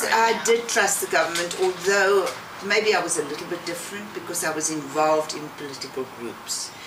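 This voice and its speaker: At a moderate pace, a woman speaks with a fairly low voice. The audio has noticeable background noise and audible room echo. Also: ordinary pitch variation, big swings in loudness. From South Africa, rural Eastern Cape. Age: 70s. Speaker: interviewee, emigrant grandmother. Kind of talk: interview.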